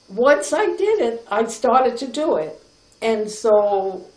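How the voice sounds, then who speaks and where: This woman talks in an American accent. The room echo is audible. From New York City, Lower East Side. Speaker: grandmother telling her life story. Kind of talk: personal reminiscence.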